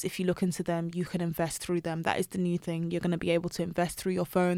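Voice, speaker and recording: A woman speaks in a London accent at a medium pitch. The recording is very clean, with a silent background. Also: dry, close sound with no echo. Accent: British English (London). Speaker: personal finance blogger. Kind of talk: casual interview chat. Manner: animated.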